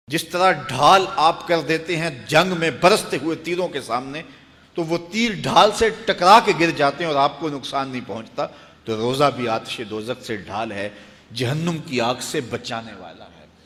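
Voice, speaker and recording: An ordinary speaking voice, a man's, at a fairly high pitch for a man, with lively intonation and big swings in loudness. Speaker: Islamic preacher. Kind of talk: Islamic sermon (bayan).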